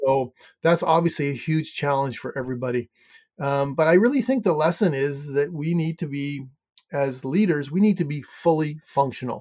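A man speaks with a slight Canadian accent. His pitch is fairly high. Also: ordinary pitch variation, moderate pace. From Canada. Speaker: hotel finance coach. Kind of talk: interview.

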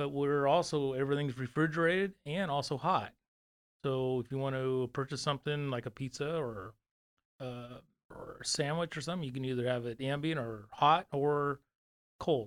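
With a Californian accent, a man speaks at a moderate pace in a fairly high voice. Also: ordinary pitch variation. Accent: General American (Californian). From California (Fresno). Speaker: company operations executive. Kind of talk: casual interview. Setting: studio.

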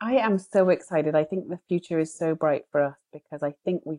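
With a British accent, a woman speaks at a moderate pace in a very deep, low pitch, her dark, mellow tone varying in pitch in an ordinary way, in a dry, close sound with no echo. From Britain. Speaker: co-founder and CEO of a glamping company. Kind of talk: interview.

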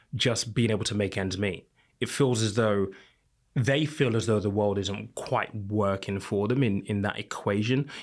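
With a British accent, a man speaks at a fairly low pitch with fairly even intonation. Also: very clean recording, silent background. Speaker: financial content creator and podcast host. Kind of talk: panel discussion.

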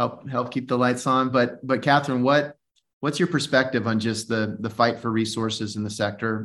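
Over a quiet background, a man speaks in a plain, everyday voice. His pace is moderate and his intonation fairly even. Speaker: podcast host. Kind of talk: casual interview.

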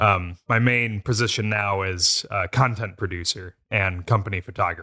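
A man's unremarkable speaking voice, fairly low in pitch, at a moderate pace with fairly even intonation, on a very clean recording with a silent background. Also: hardly any pauses, dry, close sound with no echo. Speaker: content producer and photographer. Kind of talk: casual chat.

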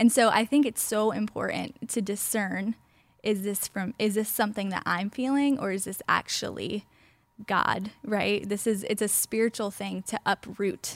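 A woman with a plain, everyday voice talks at medium pitch and a moderate pace with fairly even intonation, in a dry, close sound with no echo. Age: 20s. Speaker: pastor. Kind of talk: casual chat.

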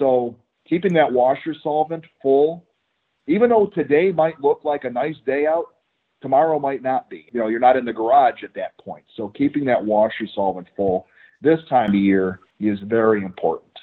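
With an American accent, a man uses a normal speaking voice, fairly high in pitch, with lively intonation at a moderate pace. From Michigan. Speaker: automotive technical manager, former mechanic. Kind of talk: interview.

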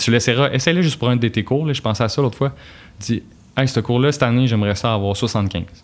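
With a normal speaking voice, a man talks fairly quickly using ordinary pitch variation. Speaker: engineer and author. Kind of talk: casual interview.

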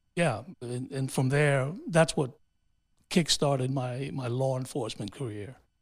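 Over a silent background in a very clean recording, a man with a somewhat breathy voice speaks at a moderate pace and fairly high pitch, keeping his intonation fairly even. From New York City, raised by Honduran immigrants. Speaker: city councilman and mayoral candidate. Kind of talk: interview. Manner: halting, many fillers.

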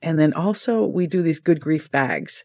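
A woman speaks in a very deep, low pitch. The recording is very clean, with a silent background. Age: 60s. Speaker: nonprofit director and massage therapist. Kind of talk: interview.

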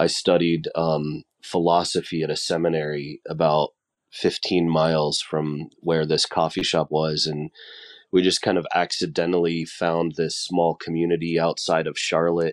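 A man with a very deep, low pitch speaks at a moderate pace in a monotone, flat intonation, the sound dry and close with no echo. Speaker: coffee shop owner. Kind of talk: casual podcast interview.

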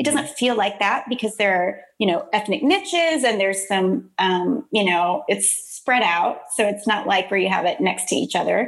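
With an American accent and lively intonation, the speaker keeps a moderate pace with hardly any pauses and very even loudness over noticeable background noise. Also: woman, medium pitch for a woman. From Texas, Houston area (Deer Park/Baytown). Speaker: podcast host, community development consultant. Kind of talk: casual interview chat.

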